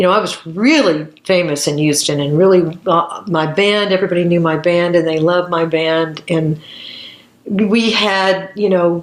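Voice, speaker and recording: Over noticeable background noise, a woman with an American accent speaks at a moderate pace in a fairly low pitch, her loudness very even throughout. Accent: Southern, comes out when back home. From US South, Hot Springs, Arkansas. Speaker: jazz singer. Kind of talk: interview, storytelling. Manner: animated; halting, many fillers.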